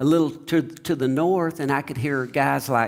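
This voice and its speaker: A fairly high-pitched man with an American accent, at a fairly slow pace with ordinary pitch variation. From Oklahoma. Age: 60s. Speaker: singer-songwriter. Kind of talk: interview conversation. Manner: halting, many fillers.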